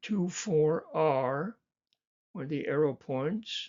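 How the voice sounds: Speaking at a slow pace, a man with a fairly high pitch shows ordinary pitch variation.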